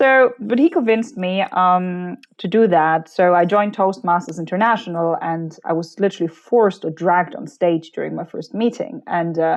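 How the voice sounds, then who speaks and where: A woman speaks at a moderate pace. Her medium-pitched voice has lively intonation. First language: not English. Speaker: personal branding strategist and keynote speaker. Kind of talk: interview conversation. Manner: animated.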